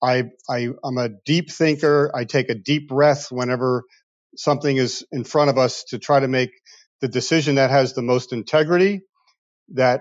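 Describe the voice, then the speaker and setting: A man's plain, everyday voice with an American accent, medium pitch, ordinary pitch variation and a moderate pace. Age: 50s. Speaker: car dealership owner. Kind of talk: interview.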